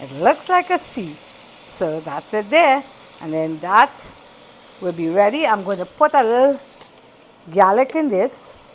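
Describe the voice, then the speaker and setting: Over noticeable background noise, a woman at a medium pitch speaks at a fairly slow pace with long, frequent pauses, big swings in loudness and very wide pitch swings. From Trinidad. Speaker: home cooking vlogger. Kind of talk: cooking tutorial.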